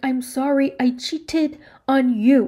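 Putting on a character voice, a woman talks at a fairly slow pace in a high pitch. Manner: mocking.

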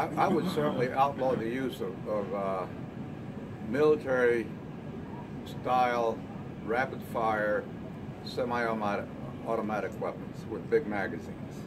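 A man at a fairly slow pace with long, frequent pauses, amid loud background noise. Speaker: Vietnam War veteran, retired army colonel. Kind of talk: group discussion remarks. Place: cafe. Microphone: handheld.

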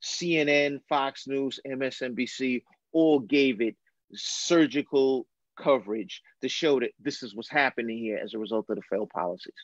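A man speaks in a plain, everyday voice at medium pitch with ordinary pitch variation. The sound is dry and close, with no echo. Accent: American. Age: 50s. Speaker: retired police lieutenant, criminal justice expert. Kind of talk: casual chat. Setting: video call.

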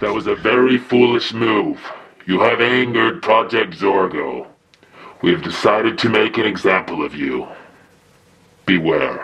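A man speaks at medium pitch and a moderate pace. Long pauses come often. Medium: voice reel. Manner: menacing, cold.

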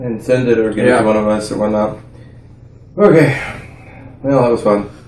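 The man talks at a moderate pace. There is audible room echo in the recording. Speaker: co-host of a spicy food challenge. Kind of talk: casual vlog chat. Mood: dazed, in pain, laughing. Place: home room. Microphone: camera far.

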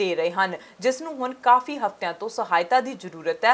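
A woman with an ordinary speaking voice and lively intonation. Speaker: news reporter. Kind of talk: TV news report voice-over.

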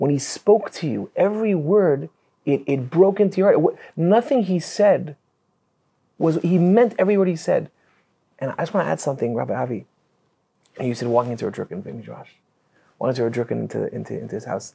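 A man with a Canadian accent and a dark, mellow, fairly high voice, his pitch swinging very widely between long, frequent pauses. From Canada. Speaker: rabbi. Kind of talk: casual chat. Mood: reverent, admiring. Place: studio. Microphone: lapel.

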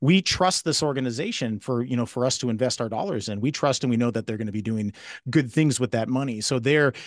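Speaking at a very fast pace, a man is heard in a dry recording with no echo and a quiet background. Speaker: benefit auctioneer. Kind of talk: interview answer. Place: home room. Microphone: studio mic.

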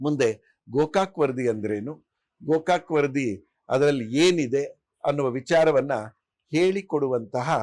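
A man with an ordinary speaking voice, fairly high pitch and ordinary pitch variation, on a very clean recording with a silent background. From Kolar, Karnataka border district. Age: 60s. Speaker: language rights activist. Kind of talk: interview. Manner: measured, pausing.

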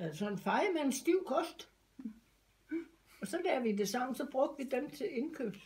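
A woman with a high pitch speaks in very wide pitch swings, leaving long, frequent pauses. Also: fairly slow pace. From Denmark. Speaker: grandmother sharing memories. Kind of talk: interview answer. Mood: reminiscing, relaxed. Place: home room.

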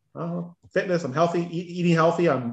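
Fairly high-pitched for a man, this is a plain, everyday voice, talking at a fairly quick pace against a quiet background. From Ontario, Canada. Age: 50s. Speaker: weight-loss coaching client. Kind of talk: casual interview. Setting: video call. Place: home room. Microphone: video call.

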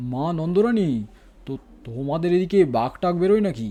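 A man's shaky, put-on character voice, high-pitched and at a moderate pace. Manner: fearful, anxious.

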